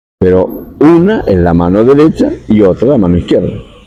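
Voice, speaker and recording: The speaker is a man. He moves at a moderate pace. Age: 60s. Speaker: spiritual talk host. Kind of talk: monologue talk.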